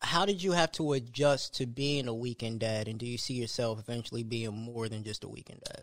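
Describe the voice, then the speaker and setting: Using an ordinary speaking voice, a man moves at a fairly quick pace with hardly any pauses and ordinary pitch variation. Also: medium pitch for a man. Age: 30s. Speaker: podcast host. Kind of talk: casual chat.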